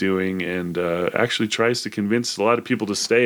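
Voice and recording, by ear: In a natural voice, someone reads aloud, the pitch varying in an ordinary way.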